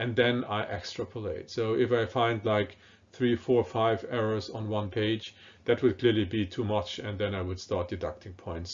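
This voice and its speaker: The speaker has a German accent and a moderate pace. Intonation stays fairly even. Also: man. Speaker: professor. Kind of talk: lecture. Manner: hesitant, many fillers.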